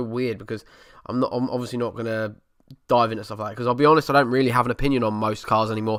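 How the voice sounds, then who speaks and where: In a very clean recording with a silent background, a man with an Essex accent and a medium pitch talks very fast in a monotone, flat intonation. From Essex, England. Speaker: podcast host. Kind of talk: casual chat. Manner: casual, hesitant with fillers. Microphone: new microphone.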